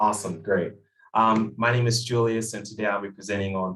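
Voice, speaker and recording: This man has an ordinary speaking voice, a medium pitch and ordinary pitch variation, and he talks at a fairly quick pace. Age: 20s. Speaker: nonprofit CEO and activist. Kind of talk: presentation.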